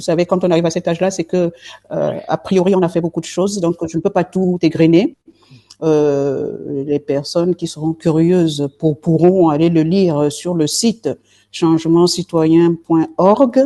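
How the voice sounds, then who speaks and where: A woman speaks at a fairly slow pace in a fairly low pitch. Her intonation stays fairly even, with music in the background. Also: dry, close sound with no echo. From southern France, Marseille. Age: 60s. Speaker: politician, party leader. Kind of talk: interview. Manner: halting, many hesitations.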